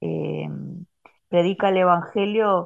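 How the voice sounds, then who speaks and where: A woman with a Rioplatense accent at a fairly slow pace. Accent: Argentine Spanish (rioplatense). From Argentina, Santa Fe province. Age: 50s. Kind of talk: interview testimony.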